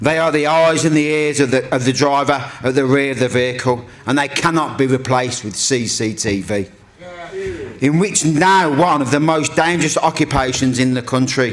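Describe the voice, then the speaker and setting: A Brummie accent against noticeable background noise. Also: man, fairly high pitch for a man, ordinary pitch variation, moderate pace. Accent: Birmingham (Brummie). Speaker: trade union convener. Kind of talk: speech. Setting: stage with audience.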